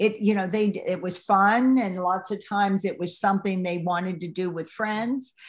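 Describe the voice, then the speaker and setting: At a moderate pace and with hardly any pauses, a woman speaks at medium pitch in a somewhat breathy voice with fairly even intonation. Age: 60s. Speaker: play advocate, former PE teacher. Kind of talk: interview. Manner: halting.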